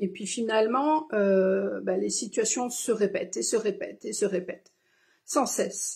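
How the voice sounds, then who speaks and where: Over a silent background in a very clean recording, a woman with a medium pitch and a dark, mellow tone speaks fairly slowly, with vocal fry and ordinary pitch variation. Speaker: spiritual card reader. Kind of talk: live stream card reading. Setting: live stream. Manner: halting with many fillers.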